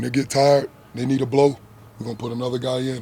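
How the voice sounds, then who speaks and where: A man in a Southern US accent, medium in pitch and at a fairly quick pace. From US South, South Georgia. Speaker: football coach. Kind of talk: press conference. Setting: media availability after practice.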